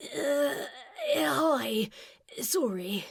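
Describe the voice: This put-on character voice is raspy and breathy, set at a fairly high pitch.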